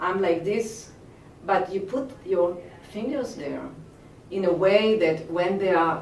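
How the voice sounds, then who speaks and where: A woman talks at a very slow pace, with long, frequent pauses. Audible room echo and noticeable background noise fill the recording. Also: medium pitch for a woman, ordinary pitch variation. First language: Hebrew. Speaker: movement teacher. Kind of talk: interview. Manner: halting.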